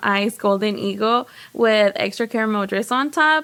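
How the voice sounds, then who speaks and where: With a plain, everyday voice, a woman talks at a moderate pace and a fairly high pitch, her intonation fairly even. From Texas, Houston. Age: 20s. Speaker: baker. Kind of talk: casual chat.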